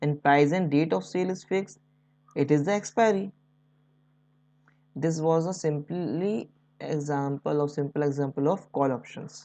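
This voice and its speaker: Ordinary pitch variation and a dark, mellow tone at a moderate pace, with an Indian accent. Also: woman. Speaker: stock market educator. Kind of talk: tutorial. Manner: unscripted, somewhat halting.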